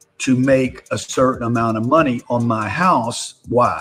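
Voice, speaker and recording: A man talks with music playing in the background. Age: 60s. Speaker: real estate investor and political commentator. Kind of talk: live-stream political commentary. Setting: live stream.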